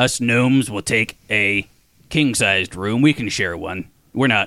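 A man puts on a character voice. His pitch is medium. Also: moderate pace. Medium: actual play. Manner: pompous, condescending.

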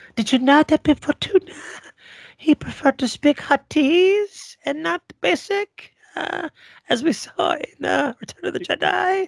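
A man does a put-on character voice at an extremely high pitch, speaking at a fairly slow pace. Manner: alien-sounding, gravelly.

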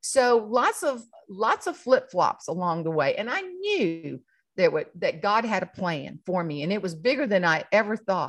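At a moderate pace, a woman speaks with a South Carolina accent. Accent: Southern US (South Carolina). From South Carolina, rural farming community. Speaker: humorist and keynote speaker. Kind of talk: casual interview chat. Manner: animated, laughs often.

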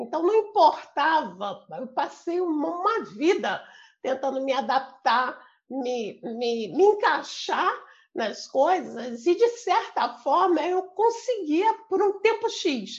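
Her pace is very slow. The woman's high-pitched voice makes very wide pitch swings. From Brazil, Rio de Janeiro. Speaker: facilitator and translator of a personal development method. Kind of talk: interview.

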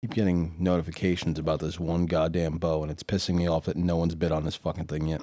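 Very deep and low in pitch, a man's dark, mellow voice races at a very fast pace in a monotone, flat intonation. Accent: American. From New York City. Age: 40s. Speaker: podcast host. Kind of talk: casual chat.

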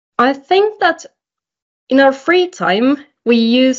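Lively intonation with a Finnish accent. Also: woman. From Finland. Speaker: modern work consultant. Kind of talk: casual chat.

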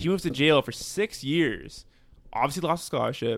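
In a plain, everyday voice, a man speaks at a moderate pace with lively intonation on a very clean recording against a silent background. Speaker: podcast guest. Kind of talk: casual chat.

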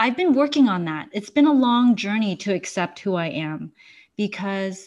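A plain, everyday voice from a woman, fairly high in pitch and lively in intonation, over a quiet background. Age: 40s. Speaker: clinical hypnotherapist and mindfulness researcher. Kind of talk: casual interview chat.

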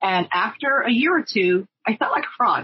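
The speaker has a Spanish accent and lively intonation. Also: woman. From Puerto Rico. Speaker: language education supervisor. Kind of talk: interview. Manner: halting.

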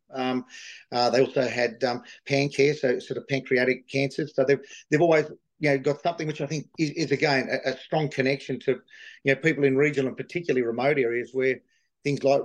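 A man with an Australian accent talks at a very fast pace. His pitch is fairly high and his intonation fairly even. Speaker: livestock agent and horse sale organiser. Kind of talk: interview. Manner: halting, with many fillers; passionate.

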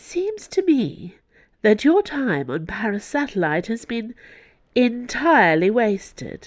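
Slowly and at a fairly high pitch, a woman performs a put-on character voice full of big pitch swings.

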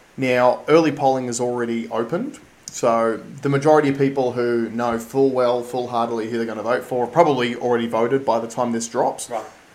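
With an Australian accent, a man speaks at a medium pitch and a fairly quick pace. His intonation is fairly even, and there is noticeable background noise. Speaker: podcast host. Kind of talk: casual chat.

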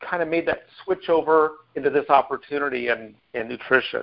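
Here a man with an American accent talks in a normal speaking voice at a fairly high pitch. He keeps a moderate pace and ordinary pitch variation. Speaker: team call host. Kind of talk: team call presentation. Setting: phone call.

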